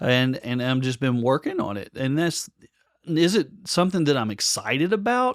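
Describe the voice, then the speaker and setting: This man, speaking with a Kentucky accent, has a fairly high voice. He talks at a moderate pace with very wide pitch swings. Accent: US Southern (Kentucky). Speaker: podcast co-host, musician and audio enthusiast. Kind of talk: casual chat. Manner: halting, many fillers.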